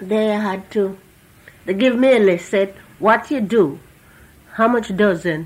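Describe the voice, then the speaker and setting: A woman talks with ordinary pitch variation and keeps a fairly slow pace. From Antigua. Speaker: former factory worker, immigrant. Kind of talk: oral history interview answer.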